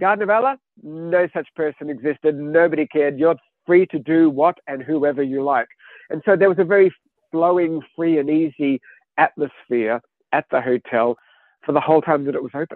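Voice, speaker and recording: Speaking with an Australian accent, a man talks at a moderate pace. His pitch is fairly high, with ordinary variation. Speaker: author. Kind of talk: interview. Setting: studio.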